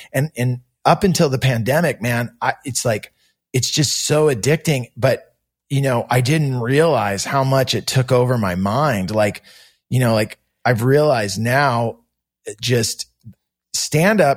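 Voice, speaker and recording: A man with an American accent and a medium pitch sounds somewhat breathy, using ordinary pitch variation on a very clean recording with a silent background. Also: fairly slow pace. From California, Santa Cruz. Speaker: punk singer and stand-up comedian. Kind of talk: casual interview chat. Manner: animated storytelling.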